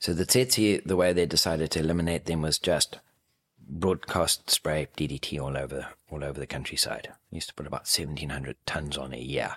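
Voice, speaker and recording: A man's very deep, low voice with vocal fry, ordinary pitch variation, a fairly quick pace, and a dry, close sound with no echo. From Zimbabwe. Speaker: falconer. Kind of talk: interview. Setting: visiting Cape Town.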